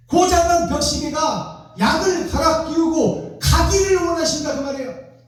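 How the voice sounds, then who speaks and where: Noticeable background noise and audible room echo surround a man speaking at a moderate pace in an animated tone and an extremely high pitch. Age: 60s. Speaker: pastor. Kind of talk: sermon.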